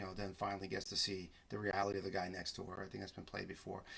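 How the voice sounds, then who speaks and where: Very fast speech with a bright, sharp tone and vocal fry. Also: man. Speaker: podcast host and film reviewer. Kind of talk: solo film review podcast. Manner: halting, many repeated words.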